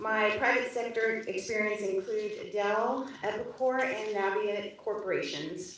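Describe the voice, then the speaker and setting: A woman's fairly high voice at a fairly slow pace, with fairly even intonation, very even loudness and hardly any pauses, set against noticeable background noise. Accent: American. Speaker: paralegal. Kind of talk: staff report. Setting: commission meeting.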